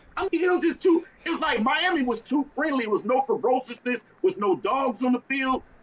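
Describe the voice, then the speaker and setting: Over noticeable background noise, a man with an extremely high pitch talks in an animated tone at a fairly quick pace, with lively intonation and hardly any pauses. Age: 40s. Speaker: sports talk co-host. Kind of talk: casual sports talk.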